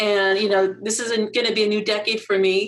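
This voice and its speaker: At a moderate pace, a woman talks in an ordinary speaking voice at a fairly high pitch. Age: 50s. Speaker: health clerk and model, live hangout guest. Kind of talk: casual chat. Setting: livestream video hangout.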